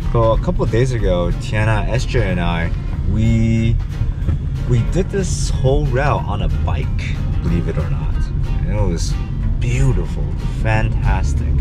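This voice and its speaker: Over loud music in the background, a man talks at a fairly slow pace with long, frequent pauses. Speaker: travel vlogger. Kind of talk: casual vlog chat. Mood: disappointed, wry. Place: car. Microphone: phone near.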